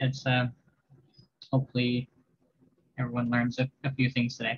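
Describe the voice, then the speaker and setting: Speaking at a moderate pace, a man uses a medium pitch and a flat, monotone intonation. His voice is somewhat breathy, with long, frequent pauses. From Labrador, Canada. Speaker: visual artist and workshop instructor. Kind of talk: tutorial. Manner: hesitant.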